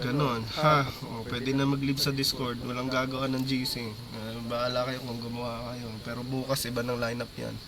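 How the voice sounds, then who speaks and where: A man with a medium pitch speaks at a moderate pace in a monotone, flat intonation, with hardly any pauses. Noticeable background noise and audible room echo are present. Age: 30s. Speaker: esports coach. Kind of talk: team feedback session.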